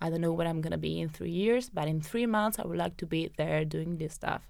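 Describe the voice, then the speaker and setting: A woman speaks with an Italian accent at a moderate pace. The recording is very clean, with a silent background. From southern Italy (Naples/Benevento area). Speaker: data scientist. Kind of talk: casual interview chat. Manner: hesitant, with frequent fillers.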